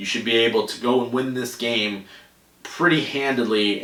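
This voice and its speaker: Speaking at a medium pitch with an American accent, a man is heard with audible room echo and noticeable background noise. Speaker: sports podcast host. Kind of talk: solo sports podcast talk. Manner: fast.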